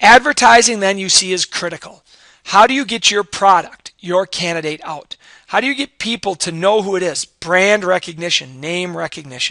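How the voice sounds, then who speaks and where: In a dry, close sound with no echo, a man with a high pitch uses a raised, projected voice at a moderate pace. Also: lively intonation. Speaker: high school civics teacher. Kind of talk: recorded class lecture.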